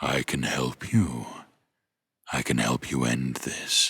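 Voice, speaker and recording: A man's put-on character voice, very deep and low in pitch, at a fairly slow pace with fairly even intonation. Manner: charming.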